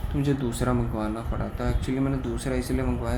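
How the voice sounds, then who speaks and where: A man talks at a moderate pace, and audible room echo colors the recording. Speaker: tech product reviewer. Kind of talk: product review. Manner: hesitant with many fillers.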